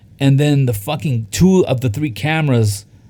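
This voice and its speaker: A man's somewhat breathy voice with a dark, mellow tone, medium pitch, ordinary pitch variation and a fairly slow pace. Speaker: podcast co-host. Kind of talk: casual chat. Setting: studio. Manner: filler-heavy, says um a lot.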